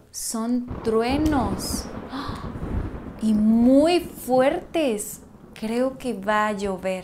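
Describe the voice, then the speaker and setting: Her fairly high pitch moves with ordinary variation as the woman talks at a very slow pace with long, frequent pauses and light background noise. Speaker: actress in language lesson skit. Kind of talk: scripted slow conversation for learners. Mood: playful, expressive, surprised. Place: home room.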